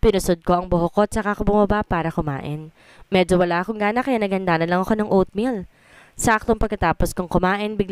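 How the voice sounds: Here the voice reads in a natural way.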